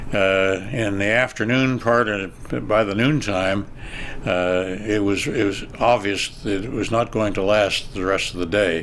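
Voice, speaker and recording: A man with a western Pennsylvania accent, fairly low-pitched, at a fairly slow pace with ordinary pitch variation, amid noticeable background noise. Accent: western Pennsylvania American. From western Pennsylvania (Beaver County). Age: 80s+. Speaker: local historian, elderly resident. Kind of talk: oral history interview. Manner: halting, many fillers.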